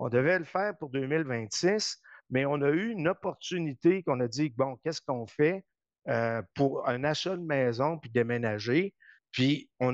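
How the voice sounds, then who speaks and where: A man's fairly high voice, an ordinary speaking voice, at a fairly slow pace with lively intonation, dry and close with no echo against a quiet background. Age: 60s. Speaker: politician. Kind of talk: interview. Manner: conversational.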